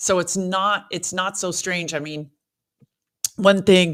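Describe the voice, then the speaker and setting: Using a normal speaking voice, a woman speaks with an American accent. Her pitch is medium and her pace moderate. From US, Southern California (Beverly Hills). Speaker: former lawyer sharing religious testimony. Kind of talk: testimony interview.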